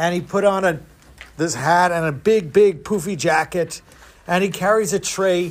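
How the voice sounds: Fairly even intonation in a natural reading voice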